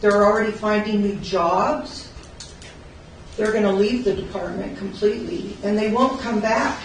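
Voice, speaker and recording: Over noticeable background noise and audible room echo, a woman with a fairly high voice speaks at a moderate pace with fairly even intonation. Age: 60s. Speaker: corrections officer. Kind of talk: public comment. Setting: public meeting.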